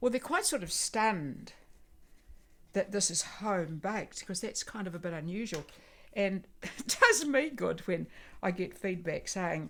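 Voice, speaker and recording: In a New Zealand accent, a woman at medium pitch speaks at a fairly slow pace with lively intonation. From Christchurch, New Zealand. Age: 80s+. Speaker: volunteer baker. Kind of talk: interview answer and baking demonstration. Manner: casual, hesitant.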